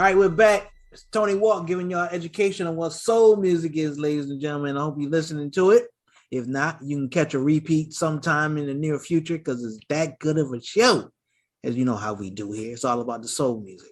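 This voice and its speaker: An unremarkable speaking voice from a man, fairly high-pitched and fairly quick, with lively intonation and big swings in loudness over a quiet background. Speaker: podcast host. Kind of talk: podcast host intro and interview questions. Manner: casual, conversational.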